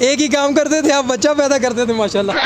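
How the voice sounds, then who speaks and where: Noticeable background noise behind a man's voice of ordinary pitch variation. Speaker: YouTube interviewer. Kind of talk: presenter talk to camera. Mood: jokey, playful. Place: shop. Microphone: handheld.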